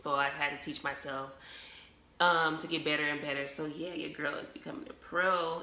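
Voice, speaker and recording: Over noticeable background noise and audible room echo, a woman talks with very deep, low pitch and ordinary pitch variation. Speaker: beauty vlogger. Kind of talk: tutorial. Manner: fast; animated.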